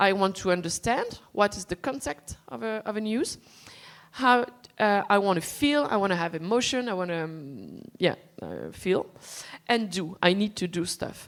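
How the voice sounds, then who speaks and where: Speaking with a non-native accent, a woman keeps to a moderate pace. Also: medium pitch for a woman, lively intonation. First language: not English. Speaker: panel moderator. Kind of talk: conference panel moderation. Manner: halting.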